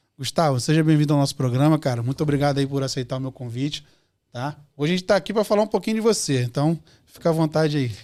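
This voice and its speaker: In a very clean recording with a silent background, a man with a dark, mellow tone and fairly high pitch talks at a very fast pace with lively intonation. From Rio de Janeiro, Brazil (Bangu). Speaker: podcast host. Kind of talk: podcast interview. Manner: casual, informal.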